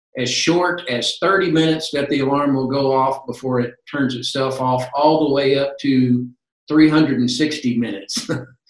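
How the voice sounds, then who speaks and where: Over a quiet background with audible room echo, a man speaks at a very slow pace in a fairly high pitch with fairly even intonation. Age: 60s. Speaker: medical alert company representative; presenter. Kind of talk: interview. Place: home room. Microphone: webcam.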